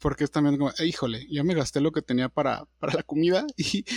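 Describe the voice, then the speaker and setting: This man has an ordinary speaking voice, fairly high in pitch, talking at a fairly quick pace with very even loudness in a dry, close sound with no echo. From Durango, Mexico. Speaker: podcast co-host. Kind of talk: casual chat. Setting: video call.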